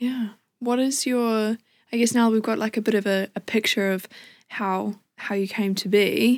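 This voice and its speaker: A woman talks at a moderate pace in a New Zealand accent, her pitch fairly high and her intonation flat and monotone. The recording is very clean, with a silent background. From New Zealand, Wellington. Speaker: podcast host and musician. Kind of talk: casual interview chat. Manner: giggly, informal.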